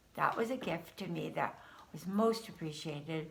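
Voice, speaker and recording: A woman talks at a moderate pace in a fairly low voice, with audible echo in the room. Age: 70s. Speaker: spiritual card reader. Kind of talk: casual spiritual monologue. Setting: at home, just woke up. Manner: hesitant, with fillers.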